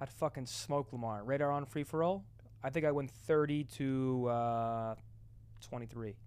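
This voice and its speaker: Here is a man with an ordinary speaking voice and an American accent. His pitch varies normally, and the recording is very clean with a silent background. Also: medium pitch for a man. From New Jersey. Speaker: retired esports player and content creator. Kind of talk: casual chat. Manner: fast, repetitive false starts.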